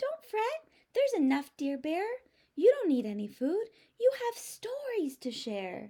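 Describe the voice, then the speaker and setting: A woman puts on a squeaky character voice at an extremely high pitch. Her pitch swings very widely at a moderate pace. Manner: squeaky, reassuring.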